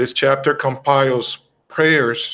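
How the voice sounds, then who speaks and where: A man's fairly high-pitched voice with a Brazilian accent. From Brazil (Rio de Janeiro). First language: Portuguese. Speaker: spiritist study presenter. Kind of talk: religious study talk. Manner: halting, many fillers.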